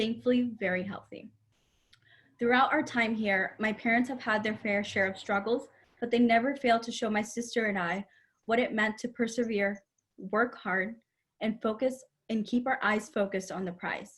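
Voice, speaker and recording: A somewhat breathy woman's voice, fairly high in pitch, with fairly even intonation and a moderate pace. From Springfield, Massachusetts (born in Puerto Rico). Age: 20s. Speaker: college student and aspiring cybersecurity professional. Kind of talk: prepared talk. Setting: virtual session from home.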